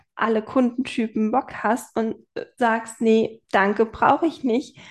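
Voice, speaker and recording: A woman's unremarkable speaking voice, fairly high in pitch with fairly even intonation, over a quiet background. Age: 20s. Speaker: photographer and web designer. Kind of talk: casual chat.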